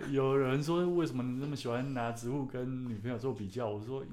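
With audible room echo, a man talks at a fairly quick pace and a medium pitch. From Taiwan, Taichung. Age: 30s. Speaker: author and plant collector. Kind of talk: casual chat. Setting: studio.

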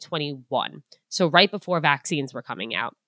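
A woman's ordinary speaking voice at a fairly quick pace, with ordinary pitch variation. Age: 20s. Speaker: dating advice guest. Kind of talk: casual interview chat.

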